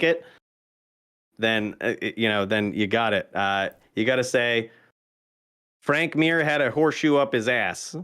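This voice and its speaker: On a very clean recording with a silent background, a man of medium pitch speaks at a moderate pace with ordinary pitch variation and a slight Maine accent. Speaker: streamer. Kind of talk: casual chat. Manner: animated.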